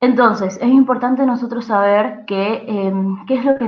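A woman talks with normal pitch movement, keeping an average speed. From Argentina. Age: 20s. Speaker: youth organization presenter. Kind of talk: training presentation. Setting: recorded online session. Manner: hesitant with frequent fillers. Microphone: video call.

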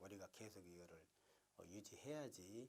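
A man speaks at a moderate pace and fairly low pitch with ordinary pitch variation, in a plain, everyday voice. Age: 50s. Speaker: traditional puppet theatre preservation society head. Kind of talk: interview answer.

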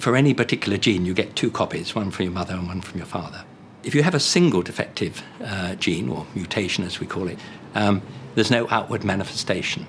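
A man's fairly low voice with ordinary pitch variation at a very fast pace, over noticeable background noise. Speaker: medical genetics expert. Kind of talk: documentary interview.

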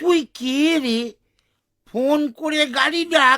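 The clip features a cartoonish character voice with a high pitch. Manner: brash, mocking.

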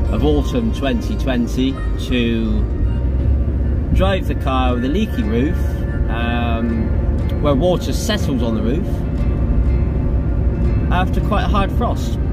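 Over loud background noise, the speaker goes at a very slow pace with long, frequent pauses. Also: man. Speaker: car enthusiast. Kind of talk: casual car walkaround video. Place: car. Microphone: phone near.

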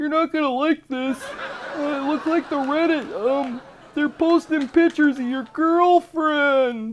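A cartoonish character voice, high in pitch and fairly slow in pace. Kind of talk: cartoon parody voice. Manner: casual, teasing, rambling.

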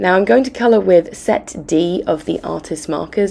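A woman with a fairly low pitch, vocal fry and a croaky, dark, mellow tone speaks at a moderate pace with ordinary pitch variation.

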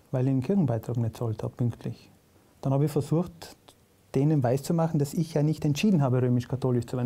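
Somewhat breathy and dark, mellow in tone, a man's voice sits at a medium pitch. He talks very fast with ordinary pitch variation. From South Tyrol. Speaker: comedian. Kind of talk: casual interview chat.

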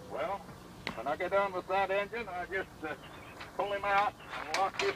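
Over noticeable background noise, a man speaks at a moderate pace in a raised, projected voice. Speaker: antique tractor collector. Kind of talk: demonstration explanation. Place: open country. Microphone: camera far.

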